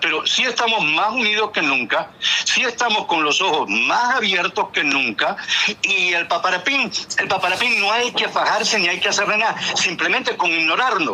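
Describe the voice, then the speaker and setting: Noticeable background noise accompanies a man with a Miami Cuban accent. His voice is high-pitched and his loudness very even. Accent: Cuban-American Spanish, Miami. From Cuban American raised in Miami, US. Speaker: former flight attendant, talk show guest. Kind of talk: casual chat. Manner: animated.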